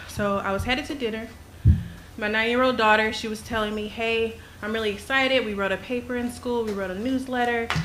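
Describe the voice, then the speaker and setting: With noticeable background noise and audible room echo, a woman speaks in a shaky voice at a fairly high pitch with ordinary pitch variation. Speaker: concerned parent. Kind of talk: public comment at school board meeting. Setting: school board meeting. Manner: halting.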